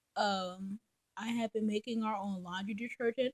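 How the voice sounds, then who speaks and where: A woman speaks at a fairly slow pace, her voice somewhat breathy. The sound is dry and close, with no echo. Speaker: mother and vlogger. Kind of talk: casual vlog monologue. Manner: hesitant, many ums.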